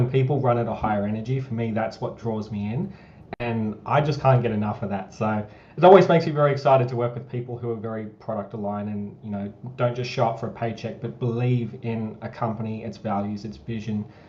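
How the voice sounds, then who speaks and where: A man with an Australian accent talks very fast at a medium pitch, with ordinary pitch variation. The room echo is audible and there is noticeable background noise. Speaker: marketing director. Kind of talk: community town hall livestream.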